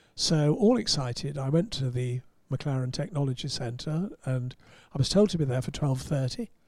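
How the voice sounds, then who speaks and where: Lively intonation and a somewhat breathy quality in a man's fairly high voice. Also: moderate pace. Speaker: motorsport writer and broadcaster. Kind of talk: casual chat.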